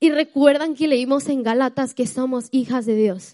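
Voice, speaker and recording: The woman's pitch is high, with ordinary variation. She talks at a fairly slow pace. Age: 20s. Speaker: church speaker at women's meeting. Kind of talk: sermon.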